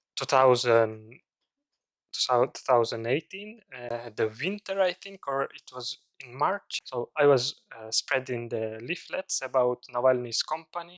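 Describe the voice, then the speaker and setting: A man with a Russian accent, medium pitch, lively intonation, big swings in loudness, a very slow pace, and a dry, close sound with no echo. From Komi Republic, Russia. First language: Komi. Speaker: language activist. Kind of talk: interview. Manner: halting.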